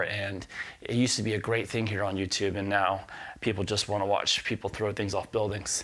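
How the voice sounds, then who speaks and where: The recording is very clean, with a silent background. A man speaks at a moderate pace with a Southern US accent. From US South. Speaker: guitar teacher. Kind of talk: casual chat; tutorial. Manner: casual, many fillers.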